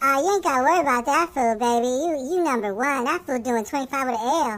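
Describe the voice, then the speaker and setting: In a cartoonish character voice, a man rattles off words at a very fast pace and an extremely high pitch. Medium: puppet show. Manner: slangy, excitable.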